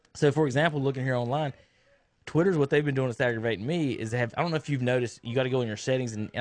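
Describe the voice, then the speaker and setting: Talking at a very fast pace, a man with an American accent and medium pitch is heard against a quiet background. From North Carolina. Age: 30s. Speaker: sports radio host. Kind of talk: casual sports talk. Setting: radio studio.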